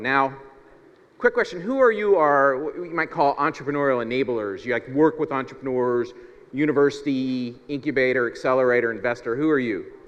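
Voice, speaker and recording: Here is a man with an American accent and an unremarkable speaking voice, fairly high in pitch. He talks at a moderate pace with lively intonation. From US Midwest, Ohio near Cincinnati. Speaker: keynote speaker, startup consultant. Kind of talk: conference keynote. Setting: stage with audience. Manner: casual with filler words and repetitions.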